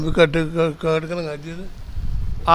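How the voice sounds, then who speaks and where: A man with a high pitch, against noticeable background noise. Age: 80s+. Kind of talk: interview answer.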